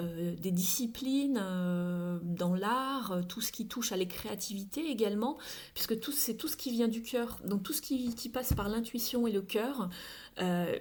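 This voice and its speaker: A woman with a fairly high, somewhat breathy voice speaks at a fairly slow pace with lively intonation, and audible room echo surrounds her. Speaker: tarot card reader. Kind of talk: tarot reading. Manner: halting.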